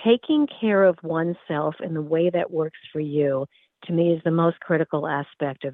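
In a normal speaking voice, a woman talks with an American accent. Her pitch sits fairly low, and her pace is moderate. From US Northeast. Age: 60s. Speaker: wellness educator. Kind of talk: interview.

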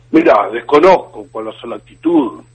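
A man speaks fairly slowly with noticeable background noise behind him. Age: 50s. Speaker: politician. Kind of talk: radio interview.

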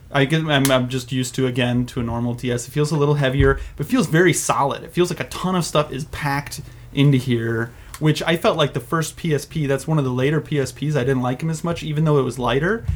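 A man with an American accent speaks at a fairly quick pace. His pitch is fairly high, and noticeable background noise comes through. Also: ordinary pitch variation. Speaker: podcast host. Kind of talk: casual chat. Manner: animated.

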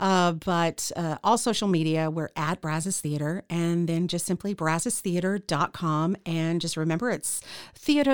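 Recorded very cleanly against a silent background, a woman with an American accent speaks at a moderate pace with hardly any pauses. She has an unremarkable speaking voice, fairly low in pitch, with a dry, close sound and no echo. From Central Texas. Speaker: radio host and theater founder. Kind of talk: interview.

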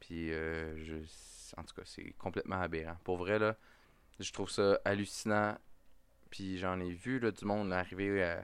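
A man with a Quebec accent speaks at a fairly slow pace in a very deep, low voice, his loudness swinging widely and his speech broken by long, frequent pauses. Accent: Québécois French. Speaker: podcast host. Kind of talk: casual chat. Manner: animated.

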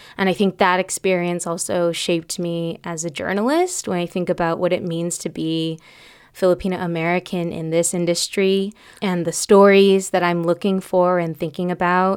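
At a moderate pace, a woman speaks in a fairly low voice with monotone, flat intonation. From Bay Area, Solano County (Suisun City/Fairfield). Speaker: podcast host and journalist. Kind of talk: casual interview. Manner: casual with many fillers.

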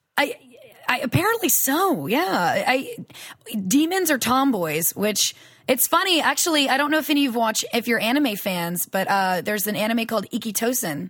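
In a Southern US accent, a woman speaks at a moderate pace with a high pitch. Her tone is animated, with very wide pitch swings. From US South. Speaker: voice actress. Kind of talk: casual interview.

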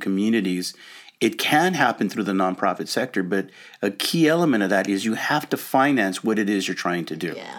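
At a moderate pace, a man with an American accent and an unremarkable speaking voice talks with lively intonation. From Los Angeles, US. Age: 60s. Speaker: nonprofit consultant. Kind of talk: casual interview.

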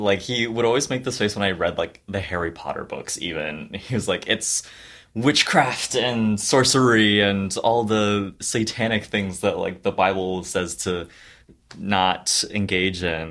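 A man with an ordinary speaking voice talks at a fairly slow pace and fairly low pitch, with ordinary pitch variation. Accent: American. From US. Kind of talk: testimony.

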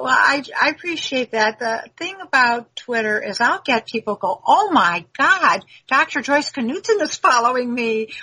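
With hardly any pauses, a woman uses a raised, projected voice, high-pitched and swinging very widely in pitch. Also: fairly slow pace. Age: 70s. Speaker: image consultant and author. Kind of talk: interview.

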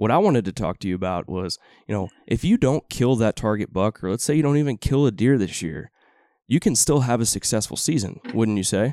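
In a very clean recording with a silent background, a man with a Texan accent talks at a fairly quick pace in a dark, mellow tone with lively intonation. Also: medium pitch for a man, dry, close sound with no echo. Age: 30s. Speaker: podcast host. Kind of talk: casual interview.

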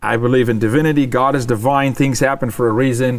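A man speaks at a very fast pace. His pitch is medium. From immigrant to US. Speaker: podcast guest and cookie company owner. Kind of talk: casual chat.

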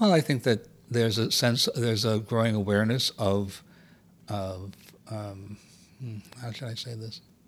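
Speaking at a moderate pace with an American accent, the voice has fairly even intonation, big swings in loudness and long, frequent pauses. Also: man, medium pitch for a man. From US South, Miami. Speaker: theater producer and poet. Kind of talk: casual chat. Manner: halting.

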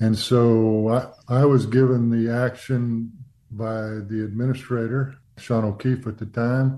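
This man with an American accent has a medium pitch and a dark, mellow tone, speaking at a very slow pace in a monotone, flat delivery. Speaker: retired aerospace engineer. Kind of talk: radio interview. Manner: soft-spoken.

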